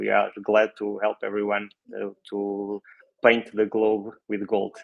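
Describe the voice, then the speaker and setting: A man with a non-native accent, a fairly low pitch and a fairly slow pace. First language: Portuguese. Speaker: real estate office consultant. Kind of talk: online workshop presentation. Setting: video call. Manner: halting, many fillers.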